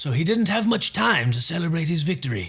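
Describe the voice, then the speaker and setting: A man in a put-on character voice. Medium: read story. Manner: measured, dryly witty.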